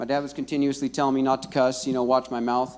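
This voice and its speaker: A man talks loudly at a very fast pace. His pitch is fairly high. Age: 30s. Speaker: rehab program graduate. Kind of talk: testimony. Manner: halting.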